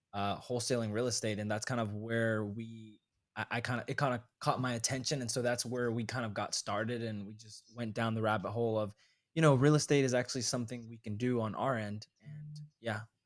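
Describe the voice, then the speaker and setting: On a very clean recording with a silent background, a man with an American accent and an ordinary speaking voice talks at a fairly quick pace in a medium pitch, his intonation fairly even but his loudness swinging widely. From US South, North Carolina. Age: 20s. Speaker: real estate investor. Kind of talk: casual chat.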